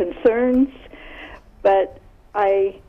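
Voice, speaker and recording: Noticeable background noise can be heard. Through it, a woman speaks at a very slow pace. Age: 60s. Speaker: caller. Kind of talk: phone-in question. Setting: phone call.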